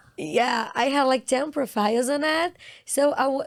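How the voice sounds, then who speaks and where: With a Brazilian Portuguese accent, a woman speaks at a fairly slow pace in a high pitch with ordinary pitch variation. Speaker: actress. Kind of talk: casual interview chat.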